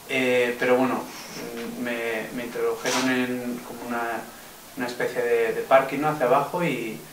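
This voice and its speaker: A man at a medium pitch and a moderate pace, with fairly even intonation, noticeable background noise and audible room echo. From Navarre, Spain (Pamplona). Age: 20s. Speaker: political activist, defendant in trial. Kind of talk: interview testimony. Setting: filmed interview. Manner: halting, many fillers and repetitions.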